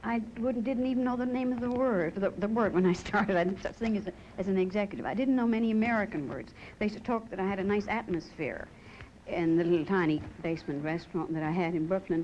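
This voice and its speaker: Speaking very fast, a woman with a Newfoundland accent uses lively intonation at a medium pitch. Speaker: restaurant owner. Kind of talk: TV talk show interview.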